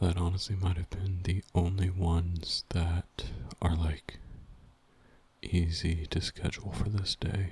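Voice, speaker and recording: A soft-spoken man with a very deep, low pitch talks at a fairly slow pace. His voice is somewhat breathy, with monotone, flat intonation. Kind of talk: ASMR body doubling session, casual talk to camera.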